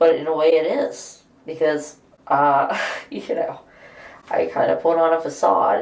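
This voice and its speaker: A woman's voice over noticeable background noise. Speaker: reality show contestant; aspiring actor. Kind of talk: casual conversation.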